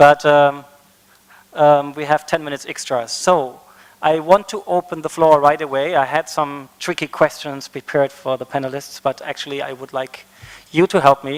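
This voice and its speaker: With a German accent, a man speaks at a fairly high pitch and fairly even intonation, his loudness swinging widely in a dry, close sound with no echo. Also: moderate pace. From Germany. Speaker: conference facilitator. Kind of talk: panel moderation. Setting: conference stage with audience.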